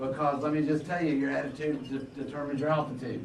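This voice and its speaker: Words come at a very fast pace. Room echo is audible, and there is noticeable background noise. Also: man. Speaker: real estate economics speaker. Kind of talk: luncheon keynote talk. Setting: stage with audience. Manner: animated.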